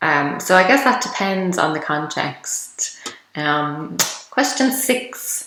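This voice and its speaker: With an Irish accent, a woman speaks very slowly, her pitch swinging very widely. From Ireland. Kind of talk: casual talk to camera.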